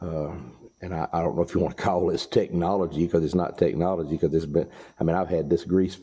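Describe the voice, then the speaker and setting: A man with a Southern US accent speaks at a fairly quick pace in a very deep, low voice with a dark, mellow tone, on a very clean recording with a silent background. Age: 60s. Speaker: farmer and mechanic. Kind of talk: tutorial. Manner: casual, folksy.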